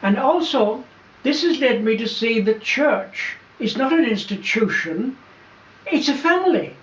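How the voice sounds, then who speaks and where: A man is heard with noticeable background noise. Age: 80s+. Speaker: Franciscan friar. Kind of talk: interview. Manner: halting.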